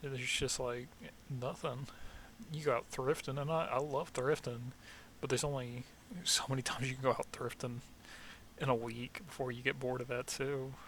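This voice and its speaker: A man with a slight Southern US accent, medium pitch, monotone, flat intonation, a moderate pace, and long, frequent pauses. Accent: slight Southern twang. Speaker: vlogger, army veteran. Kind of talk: casual monologue vlog. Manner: halting, many fillers.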